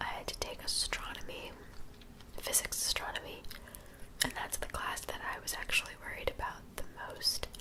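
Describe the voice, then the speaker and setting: A woman whispering in a relaxed tone, with noticeable background noise. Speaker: college student. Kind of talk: casual talk to camera. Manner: soft-spoken, whispery, relaxed.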